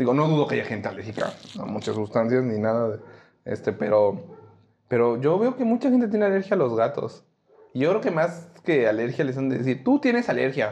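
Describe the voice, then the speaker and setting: A man of medium pitch talks fairly quickly, his pitch making very wide swings. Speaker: podcast co-host. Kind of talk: casual chat.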